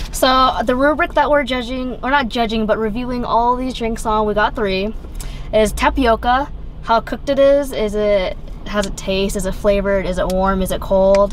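Over light background noise, a woman talks with ordinary pitch variation in a dry sound with no echo. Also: moderate pace. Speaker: co-host of a drink review channel. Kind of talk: casual review chat. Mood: cheerful, relaxed. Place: car. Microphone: phone near.

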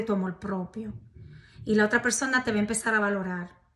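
Her tone is bright and sharp, her pitch medium. This woman keeps a fairly even intonation.

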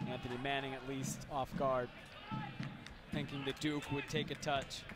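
A man's medium-pitched voice, dramatic in tone, at a fairly slow pace over noticeable background noise. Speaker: sports commentator. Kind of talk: live sports commentary. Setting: match highlights video, stadium broadcast. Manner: excitable, dramatic on goals.

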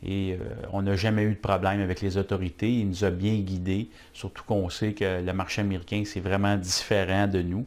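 A man's fairly low voice in a Quebec accent, at a fairly slow pace. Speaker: business owner. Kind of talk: testimonial. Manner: halting, many fillers. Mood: warm, satisfied. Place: office.

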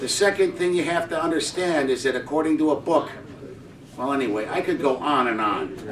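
A man at a fairly high pitch, talking at a fairly quick pace over noticeable background noise. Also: ordinary pitch variation. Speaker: audience member. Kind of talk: open-floor discussion.

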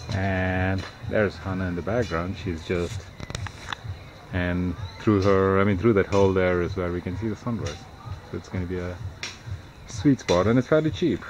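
Amid noticeable background noise, a man with a very deep, low pitch and ordinary pitch variation speaks at a moderate pace with long, frequent pauses. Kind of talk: casual vlog chat. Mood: relaxed, pleased. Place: garden. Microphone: phone near.

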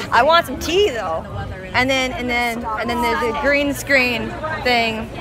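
A woman talks at a moderate pace over crowd noise in the background, the sound dry with no echo. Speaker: fan vlogger. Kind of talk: casual vlog chat. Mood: playful, excited. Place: street. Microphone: phone near.

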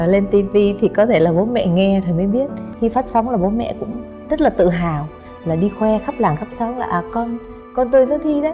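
A woman with a fairly high voice speaks at a fairly quick pace in a Northern Vietnamese accent, with clear music in the background. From Dong Nai, southern Vietnam, family from Thanh Hoa. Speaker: singer. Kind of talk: interview answer. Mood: warm, animated storytelling. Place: studio.

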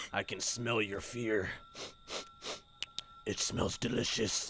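A man puts on a menacing character voice at a medium pitch with monotone, flat intonation. He speaks at a fairly slow pace over clear background noise. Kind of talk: comic horror villain voice. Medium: game stream. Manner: creepy, mock-pleading then menacing.

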